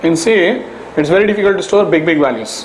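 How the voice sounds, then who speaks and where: A man with a high pitch and ordinary pitch variation is heard through audible room echo and noticeable background noise. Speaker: programming teacher. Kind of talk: lecture.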